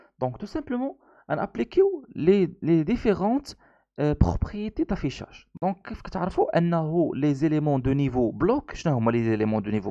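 Very slow speech with a Moroccan accent, a dark, mellow tone and very wide pitch swings, dry and close with no echo, over a quiet background. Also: man, fairly high pitch for a man. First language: Moroccan Arabic (speaking French). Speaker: programming instructor. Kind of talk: tutorial. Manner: halting.

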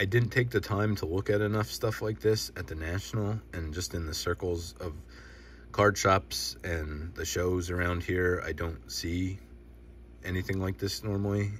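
Somewhat breathy and very deep in pitch, a man talks at a moderate pace, with a dry sound, no echo, and light background noise. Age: 30s. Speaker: sports card collecting youtuber. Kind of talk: casual solo video show-and-tell. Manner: halting, many filler words. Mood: relaxed, enthusiastic. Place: home room. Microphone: phone near.

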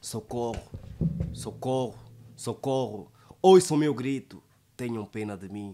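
Light background noise sits behind a man whose dark, mellow tone carries lively intonation, broken by long, frequent pauses. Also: fairly slow pace, big swings in loudness. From Angola. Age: 20s. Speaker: poet and declaimer. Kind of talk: poetry reading. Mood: dramatic, sorrowful recitation. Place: studio. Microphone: studio mic.

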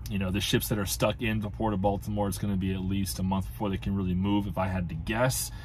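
Music plays in the background. A man with a very deep, low pitch talks at a fairly quick pace. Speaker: truck driver commentator. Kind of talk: commentary. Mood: calm, serious. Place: car. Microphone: phone near.

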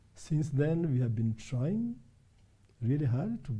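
Somewhat breathy, the voice carries a dark, mellow tone. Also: man. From Kenya. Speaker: volleyball federation official and Olympic team chief; guest. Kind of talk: interview. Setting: studio. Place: studio. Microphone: lapel.

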